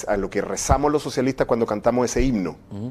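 A man's voice with a dark, mellow tone. His pitch sits in the medium range. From Chile. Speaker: university professor. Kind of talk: interview. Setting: studio. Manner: halting.

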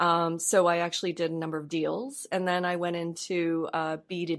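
A woman with a Canadian accent has an unremarkable speaking voice at a fairly low pitch. She speaks at a moderate pace in a very clean recording with a silent background. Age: 40s. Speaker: bank marketing executive. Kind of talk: interview.

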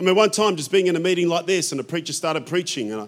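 Speaking with an Australian accent at a very fast pace, a man uses a high pitch, ordinary pitch variation, and an animated tone. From Australia, European immigrant family. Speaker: pastor. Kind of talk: sermon. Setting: church.

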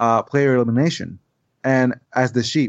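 With a Spanish accent, a man speaks at a moderate pace and a medium pitch, his intonation fairly even, against a quiet background. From Puerto Rico. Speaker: board game designer. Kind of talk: casual chat. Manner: halting.

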